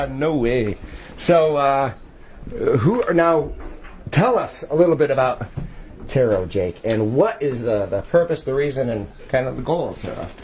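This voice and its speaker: A loud man speaks at a moderate pace with very wide pitch swings. He leaves long, frequent pauses. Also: fairly high pitch for a man. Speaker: paranormal investigator. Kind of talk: live-streamed event tour. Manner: animated.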